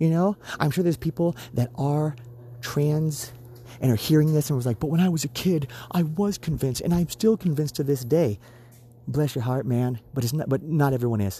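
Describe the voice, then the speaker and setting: With long, frequent pauses, a man speaks at a fairly quick pace in a fairly high, somewhat breathy voice that has a dark, mellow tone. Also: ordinary pitch variation. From USA. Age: 30s. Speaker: podcast co-host. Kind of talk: solo political opinion monologue; angry profanity-laced rant near the end. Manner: heated, swearing, emphatic rant; repeats phrases for emphasis; casual, rambling with frequent fillers.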